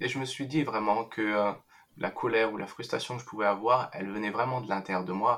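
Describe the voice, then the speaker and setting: This man talks at a fairly quick pace. His pitch is medium, with fairly even intonation. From France. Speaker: meditation teacher. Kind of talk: interview. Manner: halting.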